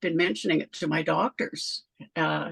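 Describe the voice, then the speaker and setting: Using vocal fry and very wide pitch swings, a woman talks at a moderate pace in a dry, close sound with no echo. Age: 70s. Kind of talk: casual interview chat. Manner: halting, many false starts.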